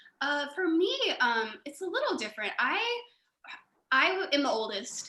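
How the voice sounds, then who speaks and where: This is a woman speaking with an American accent. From Houston area, Texas. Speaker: theater producer. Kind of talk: casual chat.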